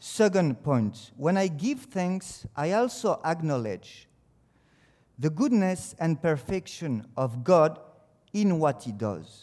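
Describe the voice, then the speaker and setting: The voice has a dark, mellow tone and a French accent. It moves very slowly, with very wide pitch swings. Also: man, fairly high pitch for a man. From France. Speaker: teacher giving a devotional. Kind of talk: devotional talk. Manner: halting.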